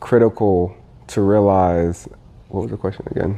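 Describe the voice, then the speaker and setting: A man with an American accent speaks at a moderate pace. His pitch sits fairly low. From US Midwest, Indiana. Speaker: corporate employee at a sportswear brand. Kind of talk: casual interview.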